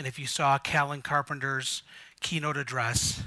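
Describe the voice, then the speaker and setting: Against a quiet background, a man speaks loud in a fairly high pitch with a bright, sharp tone. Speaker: conference speaker. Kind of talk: conference presentation. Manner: slow.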